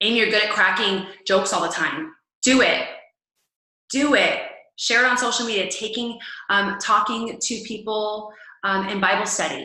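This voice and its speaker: Long, frequent pauses break up a woman's fairly high voice, which moves at a moderate pace with audible room echo. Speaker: fitness coach. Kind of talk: team call training talk. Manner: loud; animated.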